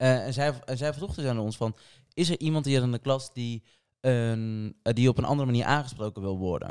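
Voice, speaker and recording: Speaking at a fairly quick pace, a man uses an ordinary speaking voice at medium pitch with ordinary pitch variation, recorded dry and close with no echo. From Portugal. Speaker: podcast co-host. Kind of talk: casual chat.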